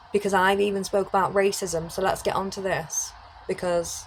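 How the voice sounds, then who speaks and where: Speaking at a fairly quick pace, a woman with a British accent holds a medium pitch. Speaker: criminologist and YouTuber. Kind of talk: casual monologue to camera. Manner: loud.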